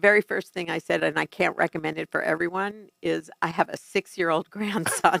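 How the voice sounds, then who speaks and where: With an American accent, a woman talks at a fairly quick pace with hardly any pauses and big swings in loudness, recorded with a dry, close sound and no echo. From New York City. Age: 60s. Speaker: family addiction consultant. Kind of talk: interview.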